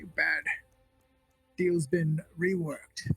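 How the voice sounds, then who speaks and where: Faint music plays behind a man doing a gravelly, high-pitched put-on character voice at a very slow pace. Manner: menacing, curt.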